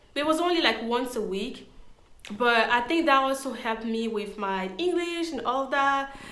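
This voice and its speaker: A woman with a non-native accent speaks at a moderate pace in a high pitch and a bright, sharp tone. Audible room echo surrounds her voice. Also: lively intonation. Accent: foreign. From Ivory Coast. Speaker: interviewee sharing career story. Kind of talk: casual interview. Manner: hesitant with fillers.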